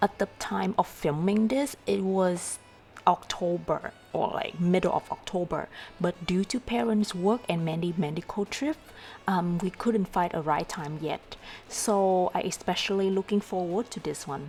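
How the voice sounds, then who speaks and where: Music plays behind a woman with a Vietnamese accent who speaks fairly slowly at a medium pitch with ordinary pitch variation. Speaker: travel vlogger. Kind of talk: vlog narration.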